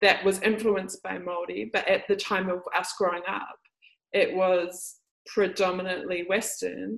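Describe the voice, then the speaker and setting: Speaking at a fairly slow pace, a woman talks with a New Zealand accent. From New Zealand, Māori. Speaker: podcast host and Māori healing teacher. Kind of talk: casual interview chat.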